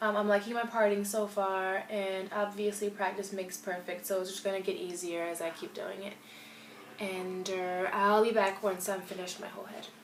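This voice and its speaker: A woman at medium pitch, moderate pace, flat monotone intonation and big swings in loudness, amid noticeable background noise and audible room echo. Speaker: natural hair vlogger. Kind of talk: casual tutorial vlog. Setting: home bathroom, filming self.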